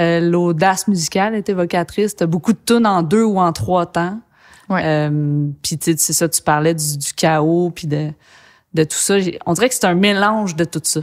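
Against a quiet background, a woman with a fairly low pitch and ordinary pitch variation speaks at a fairly slow pace. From Quebec, Saguenay; Quebec. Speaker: podcast host and bassist musician; podcast host. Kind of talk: casual interview. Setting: studio. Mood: warm, enthusiastic. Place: studio.

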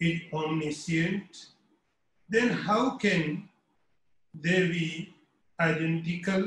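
At a very slow pace, a man talks in a high pitch with fairly even intonation, and audible room echo surrounds his voice. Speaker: spiritual teacher. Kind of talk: lecture. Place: home room. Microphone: webcam.

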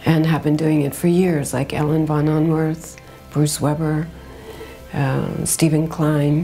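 Over faint background music, a woman speaks very slowly in a very deep, low pitch with monotone, flat intonation. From American. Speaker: fashion designer, writer, editor, festival founder. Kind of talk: interview answer.

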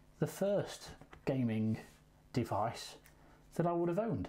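Very wide swings in pitch from a man with a dark, mellow tone. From England. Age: 40s. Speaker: YouTube gaming unboxer; gaming video host. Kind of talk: casual unboxing vlog. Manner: hesitant, many fillers. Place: home room. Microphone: lapel.

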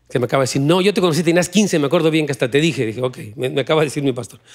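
Lively intonation over a quiet background. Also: man. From Mexico. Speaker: pastor; pastor preaching. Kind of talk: sermon. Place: church. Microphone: handheld.

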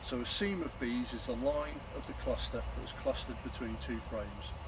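A man speaks at a moderate pace over noticeable background noise. The sound is dry, with no echo. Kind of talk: tutorial. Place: garden. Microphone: camera far.

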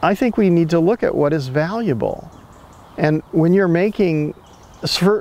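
A high-pitched man talks at a moderate pace with ordinary pitch variation. The sound is dry with no echo, though noticeable background noise comes through. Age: 70s. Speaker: ecosystem restoration advocate and filmmaker. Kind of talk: interview conversation. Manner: repetitive, halting restarts. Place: garden.

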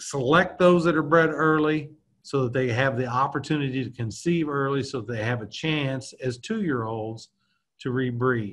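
Using a plain, everyday voice, a man talks at a moderate pace with a fairly high pitch and ordinary pitch variation. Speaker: university reproductive physiologist, extension specialist. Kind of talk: educational webinar lecture. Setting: video call.

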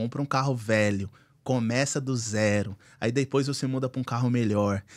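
A man at a moderate pace over a quiet background. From Brazil. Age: 30s. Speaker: car dealer; podcast guest. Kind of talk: casual chat. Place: studio. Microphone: studio mic.

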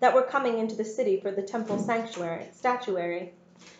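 The voice reads naturally, its pitch varying in an ordinary way.

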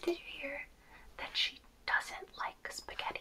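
A woman speaks softly. Noticeable background noise runs underneath. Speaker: makeup roleplay creator. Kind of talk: roleplay makeup chat to the viewer. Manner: soft-spoken, gossipy hushed roleplay voice. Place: home room.

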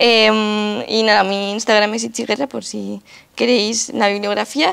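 Nothing much sounds in the background. The speech moves at a moderate pace. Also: woman. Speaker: activist and lecturer; lecturer. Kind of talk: lecture. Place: hall.

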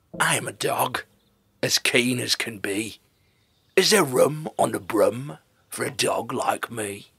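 A man's put-on character voice at medium pitch, fairly slow, with long, frequent pauses. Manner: eager, keen.

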